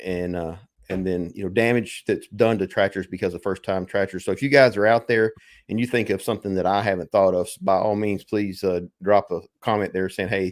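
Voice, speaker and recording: In a very clean recording with a silent background, a man with a Southern US accent talks at a fairly quick pace, his fairly low pitch held in fairly even intonation. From US South. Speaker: farmer and tractor channel host. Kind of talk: casual live chat.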